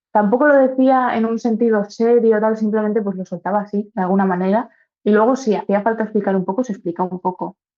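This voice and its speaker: Over music in the background, a woman talks very fast at a fairly high pitch with fairly even intonation. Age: 20s. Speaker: university student with congenital heart disease. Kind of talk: interview answer.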